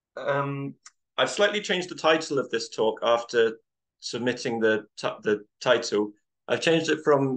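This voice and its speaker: There is a quiet background as a man talks at a moderate pace with ordinary pitch variation. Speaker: presenter. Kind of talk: lecture. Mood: relaxed, friendly. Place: home room. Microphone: video call.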